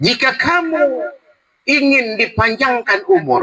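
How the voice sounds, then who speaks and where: In a raised, projected voice, a man speaks at a very slow pace with very wide pitch swings. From North Sumatra, Indonesia (Teluk Nibung, Tanjung Balai; later Dumai, Riau). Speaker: Islamic preacher. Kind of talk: religious talk at community iftar. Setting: community gathering at a cafe restaurant. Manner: animated, conversational.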